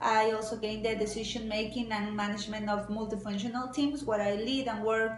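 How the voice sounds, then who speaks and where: Against noticeable background noise and audible room echo, a woman with a Mexican accent speaks at a fairly high pitch and a fairly quick pace. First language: Spanish. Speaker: job applicant. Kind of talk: personal video statement. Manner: halting, with many fillers.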